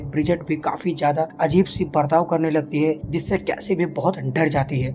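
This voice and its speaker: Noticeable background noise sits behind a man whose fairly high voice keeps a fairly even intonation. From Uttar Pradesh, India. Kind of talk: movie recap narration.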